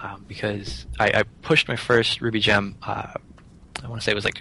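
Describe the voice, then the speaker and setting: With an American accent, a man speaks at a fairly quick pace in a fairly low pitch and a bright, sharp tone. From western Pennsylvania. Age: 20s. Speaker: software contractor and author. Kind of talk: casual interview chat. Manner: halting, many fillers and repeats.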